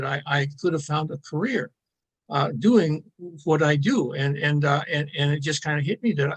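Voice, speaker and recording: A fairly high-pitched man talks at a medium tempo. There is some breathiness in his voice. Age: 70s. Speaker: philosophy enthusiast and self-styled philosophical journalist. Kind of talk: podcast interview. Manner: halting, many fillers and repeated words.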